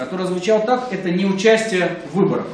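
Light background noise and audible room echo surround a man speaking at a moderate pace in a high voice. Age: young. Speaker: political consultant. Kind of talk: panel debate. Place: meeting room. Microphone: camera far.

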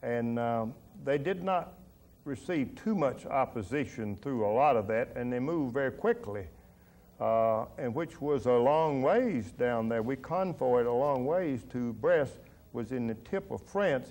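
In a Tennessee accent, a man talks at a fairly slow pace with lively intonation. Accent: US Southern (Tennessee). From Middle Tennessee. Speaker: war veteran and businessman. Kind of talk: oral history interview. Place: studio.

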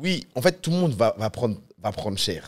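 A man talks in a Parisian accent. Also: quiet background. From France. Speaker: streamer. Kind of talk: casual chat. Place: studio. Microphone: studio mic.

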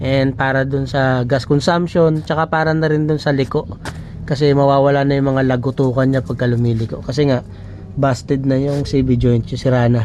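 Against noticeable background noise, a man speaks at a medium pitch and moderate pace, with fairly even intonation and very even loudness. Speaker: DIY auto repair vlogger. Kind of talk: tutorial. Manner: casual, conversational.

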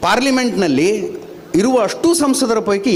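A man is heard in a space with audible room echo, while noticeable background noise sits behind him. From Dharwad district, north Karnataka. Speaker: journalist giving a speech. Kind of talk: public speech. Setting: stage at a public event.

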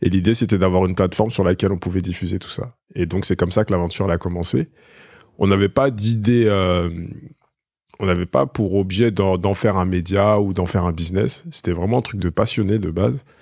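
A very deep, low-pitched man's voice at a fairly quick pace with ordinary pitch variation, in a very clean recording with a silent background. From Paris suburbs, Essonne (Évry). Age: 30s. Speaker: media entrepreneur. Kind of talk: casual interview.

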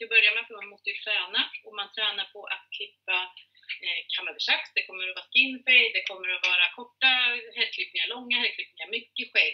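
A woman's medium-pitched voice with a slightly husky edge and ordinary pitch variation

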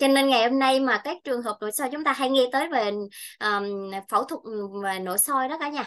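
Her voice sits high. The woman keeps her delivery at a moderate pace. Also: ordinary pitch variation, quiet background. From Vietnam, Bình Thuận; Vietnam. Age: 30s. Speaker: nutrition consultant; presenter. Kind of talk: health seminar talk. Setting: presentation to audience with mic. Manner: halting, many fillers. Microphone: webcam.

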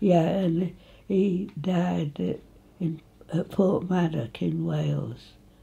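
A woman with an East Midlands accent, speaking at a very slow pace. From England, Nottinghamshire (Retford); Nottinghamshire, England. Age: 80s+. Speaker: local elder reminiscing. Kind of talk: oral history interview; interview answer. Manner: halting. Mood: cheerful, reminiscing. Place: home room.

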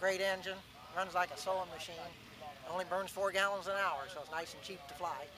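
Over noticeable background noise, a man with an American accent speaks at a fairly quick pace and a high pitch, the sound dry with no echo. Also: fairly even intonation. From US Midwest. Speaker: amateur aircraft builder and pilot. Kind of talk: testimonial. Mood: cheerful, enthusiastic. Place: open country.

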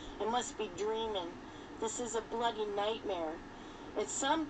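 A plain read-aloud passage

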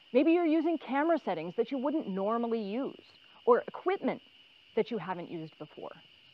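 A woman's high-pitched voice at a fairly quick pace, with a dry sound and no echo. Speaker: instructor. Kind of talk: tutorial. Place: forest. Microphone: lapel.

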